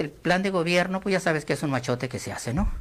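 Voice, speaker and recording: The recording is very clean with a silent background. A man speaks at a high pitch with lively intonation. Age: 60s. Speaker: political commentator, former government worker. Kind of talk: radio interview.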